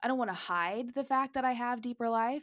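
A woman with an animated tone, on a very clean recording with a silent background. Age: 20s. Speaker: podcast host and career coach. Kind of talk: solo podcast monologue.

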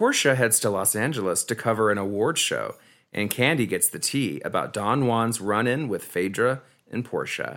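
A man with an ordinary speaking voice at a moderate pace, ordinary pitch variation, and a very clean recording with a silent background. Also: medium pitch for a man. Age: 30s. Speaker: podcast host. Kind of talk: casual chat.

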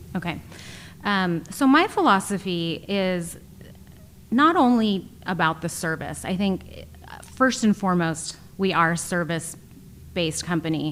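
Against noticeable background noise, a woman with an American accent speaks at a fairly slow pace, using ordinary pitch variation and long, frequent pauses. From East Bay, California. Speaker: home stager. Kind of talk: interview.

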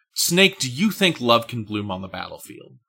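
A man puts on a whiny character voice at medium pitch, his pitch swinging very widely as he talks at a moderate pace.

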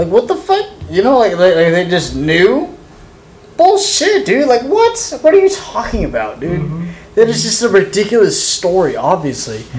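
Moderate-paced speech from a man, with noticeable background noise behind it. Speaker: podcast host. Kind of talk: casual chat. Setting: studio. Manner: loud.

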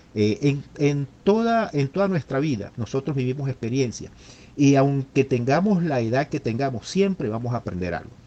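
Very wide swings in pitch run through a dark, mellow tone. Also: man. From Venezuela, Maracaibo. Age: 50s. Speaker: engineer and returned migrant. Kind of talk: interview testimony. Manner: halting, with many repetitions.

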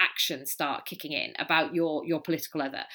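The recording is very clean with a silent background, carrying a woman's bright, sharp tone. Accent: Welsh. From Wales. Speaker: polarization expert and author. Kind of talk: interview conversation.

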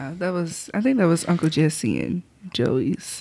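A woman with an American accent talks at a fairly slow pace. Her fairly low pitch swings very widely. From southwest Alabama. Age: 30s. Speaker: podcast co-host. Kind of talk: casual chat. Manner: laughs often.

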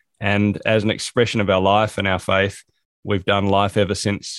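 With an Australian accent, a man talks at a fairly quick pace in a fairly low voice. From South Australia. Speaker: productivity coach and author. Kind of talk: interview.

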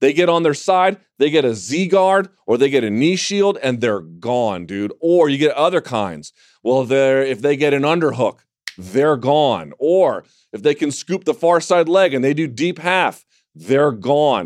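Speaking at a fairly slow pace, a man with a plain, everyday voice and a fairly high pitch uses lively intonation. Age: 30s. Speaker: MMA podcast host. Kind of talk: casual chat. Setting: studio.

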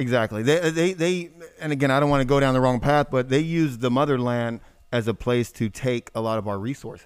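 The delivery comes at a fairly quick pace. It is a normal speaking voice, with ordinary pitch variation. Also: man, medium pitch for a man. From born in Germany, raised in US military family. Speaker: entrepreneur event company CEO. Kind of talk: casual interview.

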